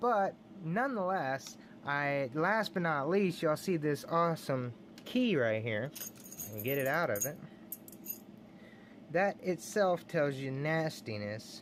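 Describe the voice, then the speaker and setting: Fairly slow delivery in an American accent, with long, frequent pauses. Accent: Texan redneck. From Texas. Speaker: lock picking hobbyist youtuber. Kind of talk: casual show-and-tell video. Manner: animated.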